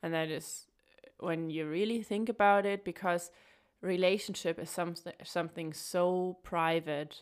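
On a very clean recording with a silent background, a woman in a normal speaking voice talks at a moderate pace, her fairly low pitch kept to fairly even intonation. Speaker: podcast co-host. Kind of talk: casual chat.

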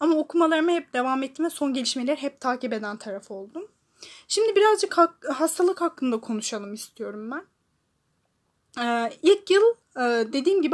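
A woman speaks loudly and at a fairly quick pace, with a high pitch. Her pitch swings very widely over a quiet background. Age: 20s. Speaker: solo podcast host. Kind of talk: personal monologue. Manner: halting, many fillers; loud opening.

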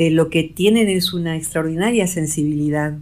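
Audible echo from the room can be heard. The voice keeps its intonation fairly even. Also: woman. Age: 60s. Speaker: psychologist. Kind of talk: radio interview. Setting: radio studio.

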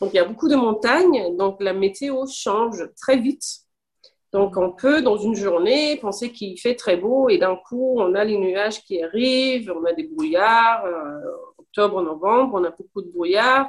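A woman at a fairly slow pace, her intonation lively. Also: fairly high pitch for a woman. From Denmark. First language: Danish and English (speaking French). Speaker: language learner. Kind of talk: casual chat. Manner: halting.

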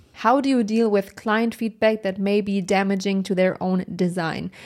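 A woman with a German accent talks at a moderate pace in a medium pitch, on a very clean recording with a silent background. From Germany. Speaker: brand designer and podcast host. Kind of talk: solo Q&A podcast monologue. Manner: animated.

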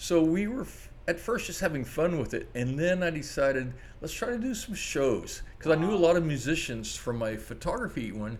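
A man with vocal fry and a fairly high pitch talks at a fairly quick pace with hardly any pauses and very wide pitch swings, in a room with audible echo. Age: 60s. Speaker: coffee shop owner. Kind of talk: casual chat.

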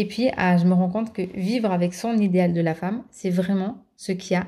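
Against a very clean recording with a silent background, a woman speaks at a moderate pace in a dark, mellow tone. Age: 30s. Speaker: podcast host, mother coaching other mothers. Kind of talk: solo podcast monologue. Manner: halting, many fillers and repetitions.

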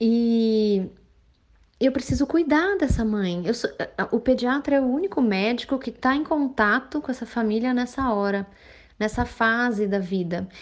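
At a fairly slow pace, a woman with an ordinary speaking voice talks at a fairly high pitch with lively intonation. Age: 30s. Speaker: pediatrician. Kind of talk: recorded talk to medical students. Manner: casual, warm.

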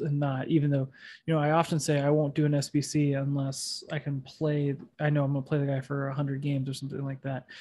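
This man talks fairly quickly, his voice pitched fairly high and a little breathy. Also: quiet background. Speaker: podcast co-host. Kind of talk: casual chat. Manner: talkative.

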